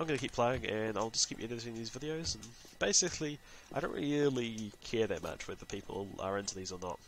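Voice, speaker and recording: This man talks at a fairly quick pace with a slight New Zealand accent. His pitch is medium, and its variation is ordinary. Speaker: gaming YouTuber. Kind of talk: gameplay commentary. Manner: casual, hesitant with many fillers.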